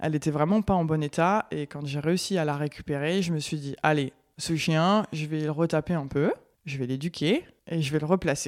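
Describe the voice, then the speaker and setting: A woman speaks at a very deep, low pitch. The recording is very clean, with a silent background. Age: 30s. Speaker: dog breeder. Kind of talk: interview. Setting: guest's home.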